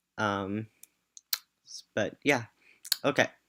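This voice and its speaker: Bright and sharp in tone, a man talks at a fairly slow pace on a very clean recording with a silent background. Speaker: graduate student. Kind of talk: casual talk to camera. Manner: hesitant, filler-heavy.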